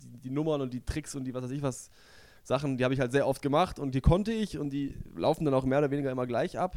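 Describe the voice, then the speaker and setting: Delivery is very fast, with big swings in loudness. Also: man, fairly high pitch for a man, ordinary pitch variation. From southwestern Germany (Stuttgart area). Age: young. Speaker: comedian and magician. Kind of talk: casual interview chat.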